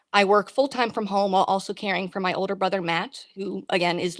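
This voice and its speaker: At a fairly quick pace, a woman with an American accent and medium pitch speaks on a very clean recording with a silent background. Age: 20s. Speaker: caregiver and small business owner. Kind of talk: testimony. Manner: emphatic.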